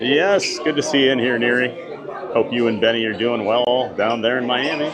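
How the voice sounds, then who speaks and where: An American-accented man speaks at a medium pitch and moderate pace, with ordinary pitch variation. Room echo is audible, and crowd noise sits in the background. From US Midwest, Iowa. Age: 40s. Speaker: theme park livestreamer. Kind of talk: live stream chat.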